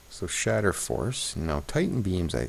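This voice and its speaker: A man mumbles his words. His pitch is very deep and low. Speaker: gaming video creator. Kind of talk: let's play commentary. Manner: mumbling; thinking aloud, casual.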